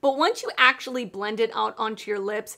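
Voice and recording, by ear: A woman with a fairly high pitch, a bright, sharp tone and some vocal fry talks at a fairly quick pace with ordinary pitch variation on a very clean recording with a silent background.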